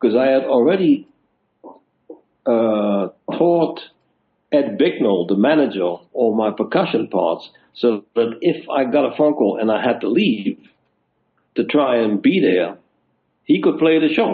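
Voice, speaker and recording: A man speaks with a Dutch accent and very wide pitch swings. His speech has long, frequent pauses. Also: medium pitch for a man, fairly slow pace. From Netherlands, near German border. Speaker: touring musician and stage manager. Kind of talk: interview storytelling.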